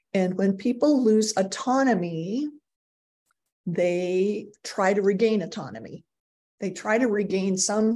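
A woman with a dark, mellow tone speaks at a fairly slow pace with ordinary pitch variation. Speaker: agile coaching speaker. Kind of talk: webinar presentation. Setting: video call. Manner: casual, many filler words. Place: home room. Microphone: webcam.

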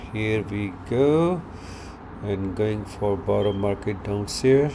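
A man speaks at a very slow pace with a fairly low pitch. Noticeable background noise runs behind him. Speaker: walking tour guide. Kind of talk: casual tour narration. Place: street. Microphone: phone near.

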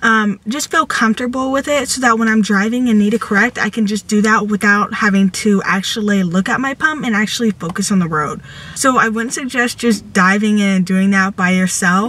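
A woman talks at a fairly quick pace with hardly any pauses. Her pitch varies in an ordinary way, and the sound is dry with no echo. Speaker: vlogger. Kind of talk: casual vlog chat with tips. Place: car. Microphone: phone near.

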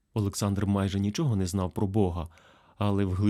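The speaker simply reads the text aloud in a plain way.

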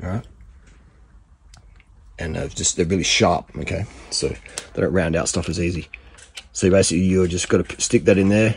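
A man talks at a moderate pace in a very deep, low pitch with fairly even intonation. Light background noise can be heard. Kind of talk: tutorial. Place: garage. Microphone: phone near.

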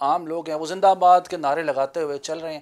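Speaking at a moderate pace, a man uses a fairly high pitch. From Pakistan. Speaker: TV talk show host. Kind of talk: political TV interview. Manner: formal. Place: home room. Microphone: lapel.

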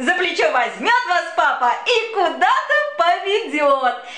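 Through noticeable background noise, a woman with an extremely high pitch raises and projects her voice, speaking very slowly with very wide pitch swings. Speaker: actress. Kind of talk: humorous children's poetry reading.

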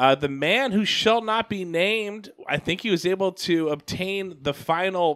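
A man is speaking. His voice is loud. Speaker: podcast host. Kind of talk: casual chat.

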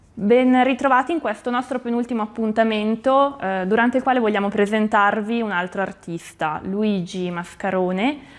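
A woman with a Bergamasque accent talks at a moderate pace and a fairly high pitch, with ordinary pitch variation and hardly any pauses. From Bergamo area, Lombardy, Italy; Lombardy, Italy. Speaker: art and antiques presenter; presenter. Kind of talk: exhibition presentation. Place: shop.

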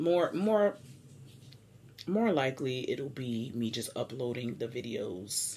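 At a fairly slow pace, a woman speaks in a very deep, low voice with a dark, mellow tone and lively intonation. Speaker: vlogger. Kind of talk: casual vlog chat. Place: home room. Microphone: camera far.

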